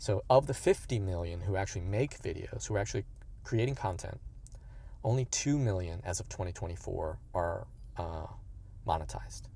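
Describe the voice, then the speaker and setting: The tone is dark, mellow and somewhat breathy, with lively intonation. Long, frequent pauses break up the speech, and the sound is dry with no echo. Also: man, fairly low pitch for a man, moderate pace. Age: 50s. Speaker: youtuber, fitness content creator. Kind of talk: casual vlog monologue. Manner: halting, many fillers. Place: car. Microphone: phone near.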